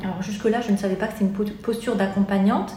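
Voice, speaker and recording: Talking at a fairly quick pace, a woman with a medium pitch is heard with audible room echo and noticeable background noise. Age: 30s. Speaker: life coach. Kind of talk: interview. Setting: in her office. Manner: halting.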